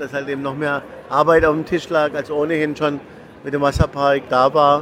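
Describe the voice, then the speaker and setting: The speech comes at a fairly quick pace in a monotone, flat intonation. Noticeable background noise runs beneath it. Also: man. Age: 40s. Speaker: theme park executive. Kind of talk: interview.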